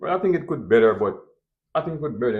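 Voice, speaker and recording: Talking very fast with a strong Jamaican accent, a man sends his pitch through very wide swings. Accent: thick Jamaican. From Jamaica, Kingston. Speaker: restaurant owner. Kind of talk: interview.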